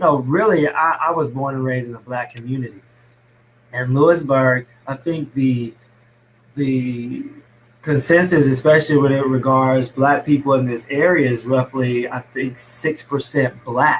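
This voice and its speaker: A man with an American accent speaks at a moderate pace and medium pitch. His voice is somewhat breathy, with fairly even intonation. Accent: Alabama accent, slight, was thicker. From US South, small-town Alabama. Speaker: fitness business owner. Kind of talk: podcast interview. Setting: live stream video call.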